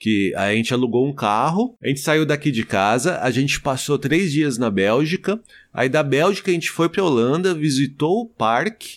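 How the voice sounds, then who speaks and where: At a moderate pace, a man with a plain, everyday voice speaks at a fairly high pitch, his intonation lively and his loudness very even, in a very clean recording with a silent background. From Brazil, Osasco (São Paulo). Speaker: travel podcaster. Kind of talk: casual chat.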